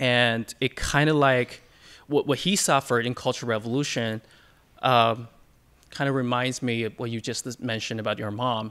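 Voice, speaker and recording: A man with a Chinese accent on a very clean recording with a silent background. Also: medium pitch for a man, fairly even intonation, moderate pace. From China. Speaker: audience member. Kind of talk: audience question.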